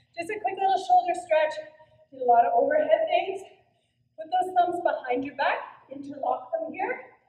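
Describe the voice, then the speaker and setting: A woman with an extremely high pitch speaks with big swings in loudness and long, frequent pauses, her voice carrying an audible room echo against a quiet background. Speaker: fitness instructor. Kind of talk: workout instruction and counting. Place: gym. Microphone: camera far.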